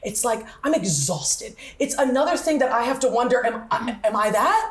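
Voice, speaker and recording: A woman speaks in an animated tone, her high voice rising and falling with lively intonation. She keeps a moderate pace over noticeable background noise. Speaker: teacher. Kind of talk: casual chat.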